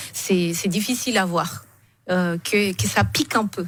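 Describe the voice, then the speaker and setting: Using vocal fry, a woman with a non-native accent speaks fairly slowly at medium pitch. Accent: foreign accent in French. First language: not French (speaking French). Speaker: event organizer. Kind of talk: radio interview.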